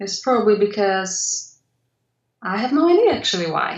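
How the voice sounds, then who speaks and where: A woman speaks with a Polish accent. Her fairly high voice moves at a fairly slow pace. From Poland. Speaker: mixed media artist. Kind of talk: interview.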